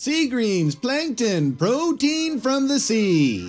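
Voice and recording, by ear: A woman in a put-on character voice speaks at a very slow pace with a high pitch and very wide pitch swings, over faint background music.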